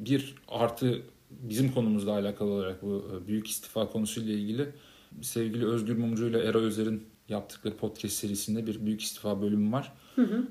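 A plain, everyday voice, a man's at medium pitch, fairly quick in pace and fairly even in intonation. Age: 30s. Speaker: podcast co-host, freelance marketer. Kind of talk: casual chat.

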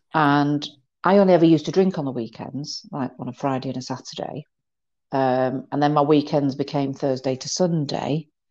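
Over a quiet background, a woman with a British accent speaks at a moderate pace in a very deep, low, dark and mellow voice, her intonation fairly even but her loudness swinging widely. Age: 50s. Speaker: mental health trainer. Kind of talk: interview.

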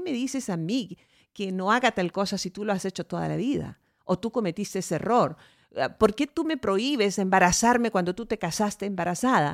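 A normal speaking voice at a fairly quick pace, on a very clean recording with a silent background and a dry, close sound with no echo. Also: woman. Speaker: podcast host. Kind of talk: casual chat; talk show monologue.

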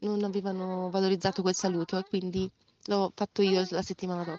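A woman's medium-pitched voice, monotone with flat intonation. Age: 30s. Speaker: educator. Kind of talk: interview. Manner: halting.

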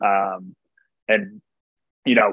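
With an American accent, a man talks using lively intonation. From Chicago area. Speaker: podcast host. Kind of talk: interview; scripted intro.

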